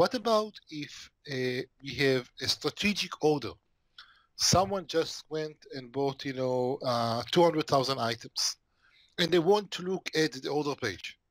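A man with lively intonation talks fairly slowly, the sound dry and echo-free against a quiet background. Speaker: remote interview guest. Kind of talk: interview answer. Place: home room. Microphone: headset.

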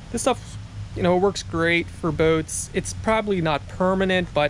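In a dry sound with no echo and light background noise behind him, a man speaks at a moderate pace with lively intonation. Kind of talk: casual vlog chat. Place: street. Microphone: phone near.

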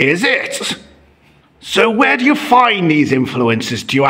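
A man puts on a gruff character voice, high-pitched for a man, with very wide pitch swings at a fairly slow pace.

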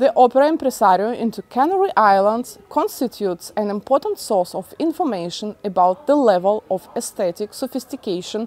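A woman speaks at a moderate pace and medium pitch with lively intonation and a slightly mellow tone, in a dry, close sound with no echo.

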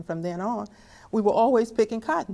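Very fast speech comes from a woman with an American accent. Her tone is dark and mellow. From Texas. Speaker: family historian; interviewee. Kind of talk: testimony. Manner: halting. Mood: earnest, reflective. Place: home room.

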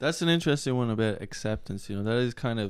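Against a quiet background, a man speaks with an Irish accent. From Ireland. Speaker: host's son. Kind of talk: casual chat. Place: home room. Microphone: handheld.

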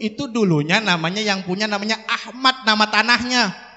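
A man's high voice at a fairly quick pace, with ordinary pitch variation. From Jakarta. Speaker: preacher. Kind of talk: sermon. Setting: religious gathering. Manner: animated. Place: hall. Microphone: handheld.

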